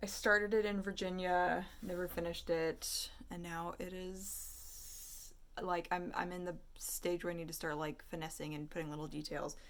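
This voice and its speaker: Audible room echo colors the recording. The woman talks at a moderate pace. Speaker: artist and vlogger. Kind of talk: casual vlog chat.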